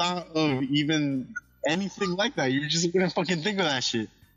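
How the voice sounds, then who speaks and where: There is noticeable background noise as a man speaks at a moderate pace. His voice is fairly high-pitched with ordinary pitch variation. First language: Spanish. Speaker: podcast co-host. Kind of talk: casual chat.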